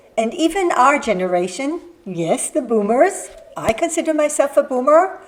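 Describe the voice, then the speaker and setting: Noticeable background noise behind a moderate pace and very wide swings in pitch. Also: woman. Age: 60s. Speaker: lifestyle vlogger. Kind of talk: scripted talk to camera.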